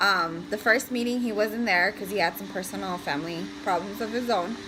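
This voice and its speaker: Speech comes at a fairly quick pace. Behind it there is noticeable background noise. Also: woman, medium pitch for a woman, ordinary pitch variation. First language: Spanish. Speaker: family vlogger, mother. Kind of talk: casual chat. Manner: hesitant, many fillers.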